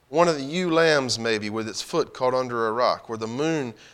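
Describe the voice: What you hear is plain reading aloud.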